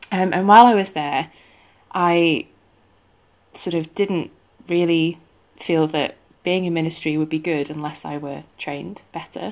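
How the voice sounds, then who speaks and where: A woman's fairly low voice with a northern English accent, ordinary pitch variation, a fairly slow pace and long, frequent pauses. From northwest England. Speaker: theology student. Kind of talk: interview, casual chat.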